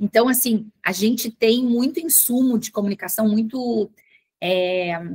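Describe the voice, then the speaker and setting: Somewhat breathy and with a Porto Alegre accent, a woman speaks at a fairly slow pace with ordinary pitch variation, in a dry, close sound with no echo. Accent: gaúcho (Porto Alegre). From southern Brazil, Porto Alegre. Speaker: communications manager, former teacher. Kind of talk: panel talk. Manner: halting, many fillers.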